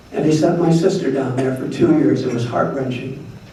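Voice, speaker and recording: With an American accent and a fairly high pitch, a man speaks in a room with audible echo and noticeable background noise. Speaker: retired doctor, former board president. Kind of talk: awards ceremony speech. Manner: fast.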